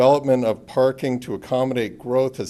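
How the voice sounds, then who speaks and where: Speaking at a fairly quick pace, a man has a dark, mellow tone and a medium pitch. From New Hampshire seacoast. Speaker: city council candidate. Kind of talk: prepared speech. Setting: council meeting. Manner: formal.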